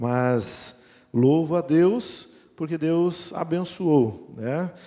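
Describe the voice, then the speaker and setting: Dark and mellow in tone, a man's fairly high voice carries lively intonation. The recording is very clean, with a silent background. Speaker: pastor. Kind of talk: sermon.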